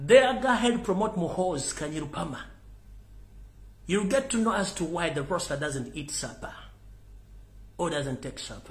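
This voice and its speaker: Amid noticeable background noise and audible room echo, a man with a Ugandan accent and a fairly high pitch speaks in an animated tone, with very wide pitch swings, big swings in loudness and long, frequent pauses. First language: Luganda. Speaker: political commentator. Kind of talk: live political rant.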